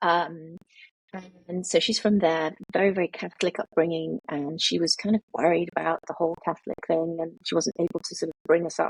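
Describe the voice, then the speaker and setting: Fairly quick speech with a British accent, dry and close with no echo. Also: woman, fairly low pitch for a woman, fairly even intonation. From international childhood, boarding school in the UK. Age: 50s. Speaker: author. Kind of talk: interview. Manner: hesitant, many fillers.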